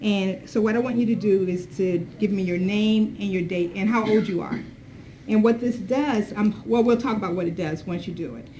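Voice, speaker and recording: A woman's medium-pitched voice with ordinary pitch variation at a moderate pace, with audible room echo and noticeable background noise. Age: 60s. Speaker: diversity consultant and advocate. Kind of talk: workshop presentation.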